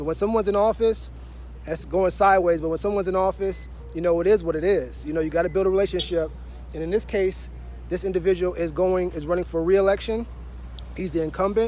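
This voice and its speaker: Very fast speech from a man, with music in the background. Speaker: marketing consultant. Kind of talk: casual vlog talk to camera. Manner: conversational with fillers.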